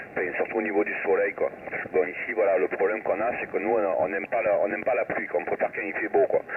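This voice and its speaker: A man speaks with a southern French accent. Noticeable background noise is present. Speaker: amateur radio operator. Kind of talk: radio contact chat. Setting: shortwave radio contact.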